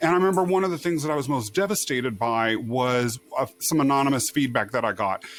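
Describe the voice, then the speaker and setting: Over noticeable background noise, a man with a fairly high voice talks very fast with lively intonation and very even loudness. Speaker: podcast host. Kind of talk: podcast interview. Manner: projects, expressive.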